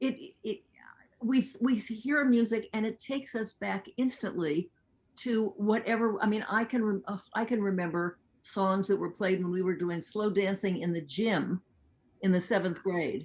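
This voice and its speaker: A woman's somewhat breathy, medium-pitched voice at a fairly slow pace, with ordinary pitch variation. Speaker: talk show host, interviewer. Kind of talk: interview, host questions.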